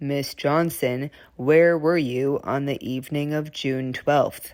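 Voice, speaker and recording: A put-on character voice with a low-to-middle pitch goes at a fairly slow pace on a very clean recording with a silent background. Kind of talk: formal, courtroom. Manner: questioning.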